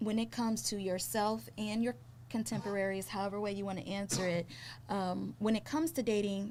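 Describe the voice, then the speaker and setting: A woman with an American accent, a plain, everyday voice, medium pitch, lively intonation and a fairly quick pace. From Trinidadian American. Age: 40s. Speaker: podcast host. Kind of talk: interview podcast.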